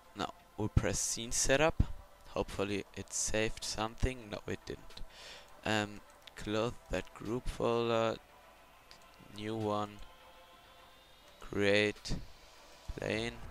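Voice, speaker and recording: A man with a German accent at a very slow pace, with monotone, flat intonation and long, frequent pauses. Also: fairly low pitch for a man. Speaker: video tutorial creator. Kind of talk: screen-recorded software tutorial. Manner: halting, with many fillers and restarts.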